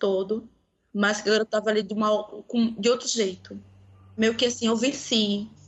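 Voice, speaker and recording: A woman speaks in a fairly high pitch at a moderate pace. Her intonation is monotone and flat. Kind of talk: casual chat.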